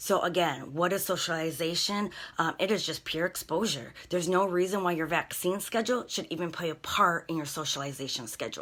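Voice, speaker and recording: An ordinary speaking voice from a woman with fairly low pitch and ordinary pitch variation, at a fairly quick pace with hardly any pauses. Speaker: dog trainer. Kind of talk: live stream class.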